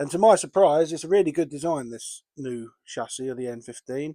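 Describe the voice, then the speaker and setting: A man speaks with an English accent. The recording is very clean, with a silent background. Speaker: model railway hobbyist. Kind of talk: tutorial. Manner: casual, with fillers.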